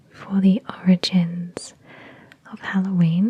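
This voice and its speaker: Words come at a very slow pace from a soft-spoken speaker. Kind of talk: ASMR talk to camera.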